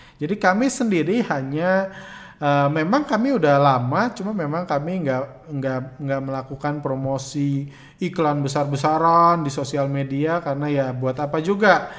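Moderate pace from a man with a fairly high voice and ordinary pitch variation. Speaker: stock trading educator. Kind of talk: Q&A answering viewer questions. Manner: hesitant, many fillers.

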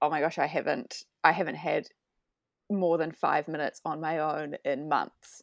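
A woman with a New Zealand accent at fairly low pitch, fairly slow in pace with fairly even intonation, over a quiet background. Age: 30s. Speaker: mother sharing postpartum experience. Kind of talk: casual chat.

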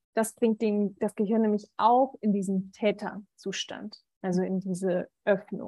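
This woman talks at a moderate pace with a medium pitch and a dark, mellow tone. Her intonation stays fairly even. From Berlin, Germany. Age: 30s. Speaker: medical student and coach. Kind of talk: interview conversation. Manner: hesitant, many filler sounds.

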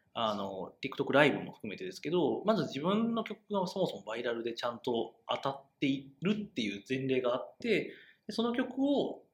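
A man speaks at a moderate pace with a fairly high pitch. His somewhat breathy voice moves in very wide pitch swings. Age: 30s. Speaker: web media editor, podcast co-host. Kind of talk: casual discussion podcast.

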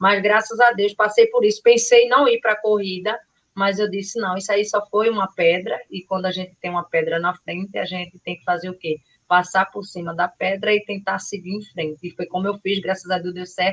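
A woman with medium pitch talks at a fairly quick pace, with fairly even intonation but big swings in loudness. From Carpina, Pernambuco, Brazil. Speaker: trail runner. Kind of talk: live podcast chat.

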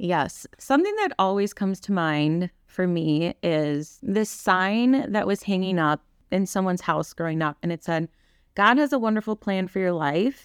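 In a Wisconsin accent, a woman speaks at a medium pitch with lively intonation, the sound dry and close with no echo on a very clean recording with a silent background. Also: moderate pace. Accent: Upper Midwest (Wisconsin). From Wisconsin, Kaukauna. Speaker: church volunteer and early childhood educator. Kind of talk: testimony.

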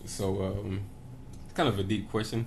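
In a fairly low, somewhat breathy voice, a man speaks at a moderate pace with monotone, flat intonation. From Tennessee, Knoxville. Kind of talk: casual chat.

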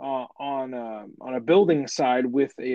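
A natural reading voice is heard here.

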